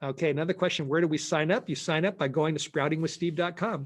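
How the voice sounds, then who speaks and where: Over a quiet background, a man speaks in a fairly high voice. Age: 60s. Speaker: pastor and sprouting course teacher. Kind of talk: Q&A session on online presentation. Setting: live online presentation. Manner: casual, halting with repetitions.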